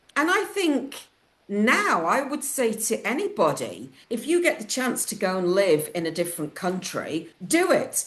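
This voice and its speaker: A woman with a northern English accent speaks at a fairly high pitch, her voice swinging very widely up and down. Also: fairly slow pace. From northern England, Lancashire. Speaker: publisher and interviewer. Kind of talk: interview.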